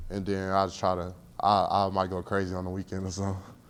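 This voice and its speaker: A quiet man at a fairly low pitch and fairly quick pace, in a very clean recording with a silent background. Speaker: college football player. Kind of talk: press interview. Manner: laid back, quiet.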